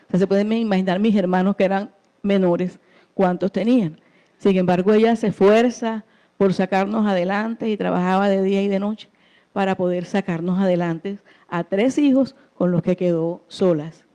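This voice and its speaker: A woman speaks at a moderate pace with a dark, mellow tone and fairly even intonation. The sound is dry and close with no echo, against a quiet background. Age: 60s. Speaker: churchgoer giving testimony. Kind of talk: testimony.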